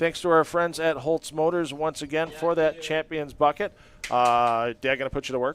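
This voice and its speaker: This man has a normal speaking voice, fairly high in pitch, with fairly even intonation at a moderate pace. The sound is dry and close, with no echo. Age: 50s. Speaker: bowling commentator. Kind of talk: post-event interview and sign-off. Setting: bowling alley.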